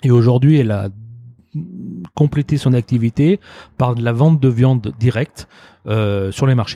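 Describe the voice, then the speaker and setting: There are long, frequent pauses as a man speaks at a medium pitch. His pitch varies in an ordinary way. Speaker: restaurant owner. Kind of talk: interview. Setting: restaurant.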